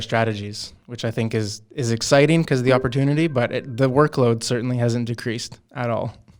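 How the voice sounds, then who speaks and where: A man with a Canadian accent speaks at a medium pitch and a moderate pace, in an unremarkable speaking voice. His intonation is fairly even, and the recording is very clean with a silent background. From Canadian West Coast. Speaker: company interviewer. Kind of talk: casual interview.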